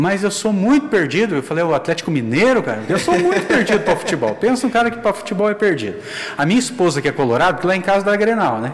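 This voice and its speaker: A man talks very fast at a high pitch, his voice swinging very widely in pitch over noticeable background noise. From Rio Grande do Sul, southern Brazil. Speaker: church internal auditor. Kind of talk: casual chat.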